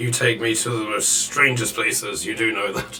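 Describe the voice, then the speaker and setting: Over clear background noise, a man puts on a raspy character voice at a medium pitch and moderate pace, swinging very widely in pitch. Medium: actual play.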